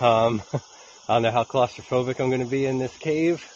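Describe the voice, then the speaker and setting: Over light background noise, a man talks at a medium pace, his pitch varying in an ordinary way and the sound dry with no echo. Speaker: hiker vlogger. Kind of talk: casual vlog chat. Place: forest. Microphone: phone near.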